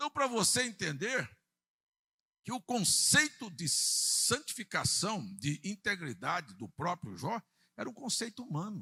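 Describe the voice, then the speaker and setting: In a dry, close recording with no echo, a man raises and projects his high voice, bright and sharp in tone, speaking fairly slowly with very wide pitch swings. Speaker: pastor. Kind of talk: sermon. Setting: church.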